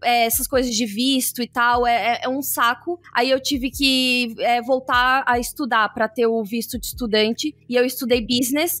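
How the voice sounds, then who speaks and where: This woman keeps a moderate pace. Her voice is pitched high. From Brazil, São Paulo. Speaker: tech professional, former lawyer. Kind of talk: interview podcast. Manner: hesitant, many fillers.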